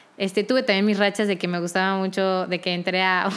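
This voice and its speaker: Her medium-pitched voice stays monotone, the woman's intonation flat throughout. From Mexico, Querétaro. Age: 20s. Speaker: singer and music student. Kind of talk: casual interview.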